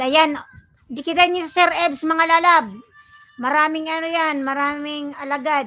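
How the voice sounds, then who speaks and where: A woman projects a raised voice at an extremely high pitch, speaking at a fairly slow pace. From Bicol region, Philippines. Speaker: vlogger, live streamer. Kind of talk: live stream chat with viewers.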